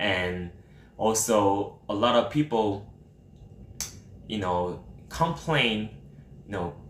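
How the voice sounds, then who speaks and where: A man speaks very slowly with a Korean accent and lively intonation. Long, frequent pauses break up his speech. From South Korea. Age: 30s. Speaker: streamer. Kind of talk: live stream Q&A. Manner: halting.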